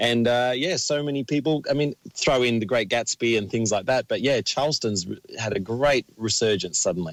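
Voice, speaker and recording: Recorded dry and close with no echo, a man with an Australian accent keeps a moderate pace, very even loudness and ordinary pitch variation. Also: medium pitch for a man. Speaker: dance teacher and choreographer. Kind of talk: radio interview.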